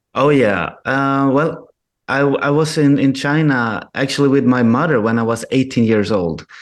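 Over a quiet background, a man speaks at medium pitch. His pace is fairly slow, with ordinary pitch variation. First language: Swedish. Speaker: filmmaker. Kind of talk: radio interview. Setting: remote call. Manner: halting.

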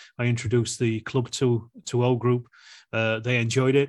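Against a quiet background, a man with a Yorkshire accent talks at a medium pitch. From South Yorkshire, Rotherham. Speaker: wargaming YouTuber. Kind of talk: casual chat.

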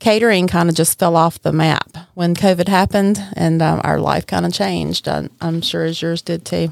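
With a strong Southern US accent, a woman talks with hardly any pauses. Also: moderate pace. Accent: deep Southern US. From Mississippi, US South. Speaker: caterer and restaurant owner. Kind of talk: casual interview chat.

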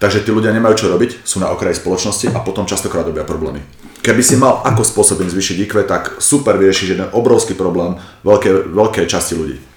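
The speech comes at a very fast pace with ordinary pitch variation. Noticeable background noise and audible room echo are present. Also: man, fairly low pitch for a man. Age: 40s. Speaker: martial arts coach. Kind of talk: casual chat.

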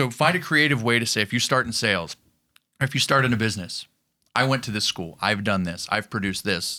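The speaker is a man with a bright, sharp tone. His intonation is lively. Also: medium pitch for a man, fairly quick pace. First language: not English. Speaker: pro wrestler. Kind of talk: interview.

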